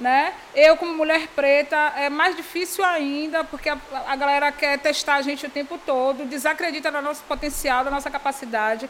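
Through noticeable background noise, a high-pitched woman speaks at a moderate pace. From Bahia, Brazil (Salvador area). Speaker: entrepreneur, fashion brand founder. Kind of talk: casual interview chat. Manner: animated, frequent laughter.

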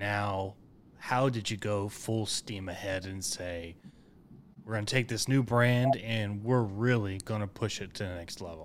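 A normal speaking voice from a man with an American accent, fairly low in pitch and fairly even in intonation, at a fairly slow pace on a very clean recording with a silent background. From Oklahoma (Enid). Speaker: podcast host, veteran. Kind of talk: casual interview.

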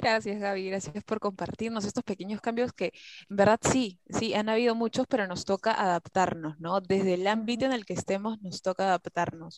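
In a dry, close recording with no echo, a woman uses an ordinary speaking voice at medium pitch, her intonation fairly even. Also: moderate pace. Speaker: psychology student podcast host. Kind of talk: casual panel chat.

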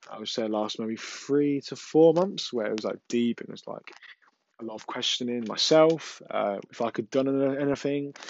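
A man with an English accent at a moderate pace, a fairly high pitch with ordinary pitch variation, and big swings in loudness. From England. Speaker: mental health podcaster. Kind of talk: solo podcast monologue. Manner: hesitant, many fillers.

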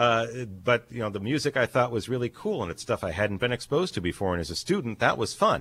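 With an American accent and lively intonation, the speaker goes very fast with hardly any pauses on a very clean recording with a silent background. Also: man, medium pitch for a man. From Erie, Pennsylvania. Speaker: college radio station director. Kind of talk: casual interview.

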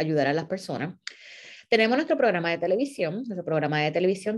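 This woman has a fairly low-pitched voice. The background is quiet. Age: 40s. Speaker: nonprofit founder and former teacher. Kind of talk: monologue to followers. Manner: halting.

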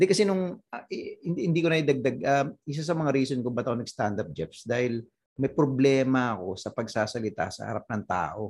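At a fairly quick pace, a man speaks at a medium pitch with vocal fry and very wide pitch swings. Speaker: stand-up comedian. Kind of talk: casual chat. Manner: animated.

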